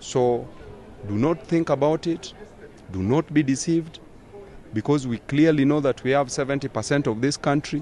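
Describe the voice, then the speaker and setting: Over light background noise, a man speaks at a fairly slow pace with long, frequent pauses. His pitch varies in an ordinary way, and the sound is dry with no echo. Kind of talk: interview answer. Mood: stern, warning. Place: street. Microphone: handheld.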